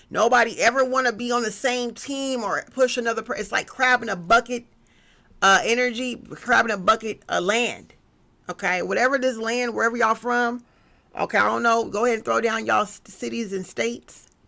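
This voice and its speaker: A woman with a bright, sharp tone and fairly high pitch, some vocal fry, a fairly quick pace, and a very clean recording over a silent background. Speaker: tarot reader. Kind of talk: collective tarot reading. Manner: animated.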